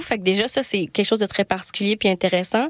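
Fairly quick delivery in a Quebec accent, with a dry, close sound and no echo. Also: woman. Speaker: podcast host and festival programmer. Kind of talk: casual interview chat.

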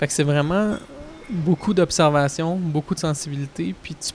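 A man's plain, everyday voice at a fairly quick pace, with fairly even intonation. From Quebec, Montreal. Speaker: record producer and musician. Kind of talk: interview.

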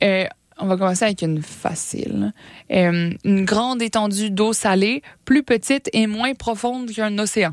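A woman's medium-pitched, an unremarkable speaking voice at a fairly slow pace, dry and close with no echo. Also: ordinary pitch variation. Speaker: science popularization radio co-host. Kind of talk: casual science chat on radio.

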